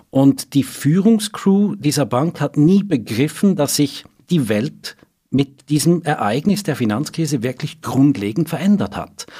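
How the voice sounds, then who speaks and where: A man talks at a fairly slow pace. His voice is fairly high in pitch and somewhat breathy. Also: lively intonation. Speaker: financial journalist. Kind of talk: interview.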